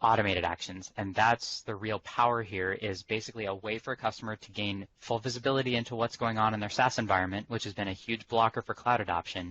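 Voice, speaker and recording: A man's fairly low voice at a very fast pace, with fairly even intonation and hardly any pauses. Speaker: technical presenter. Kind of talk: webinar demo presentation. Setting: conference call.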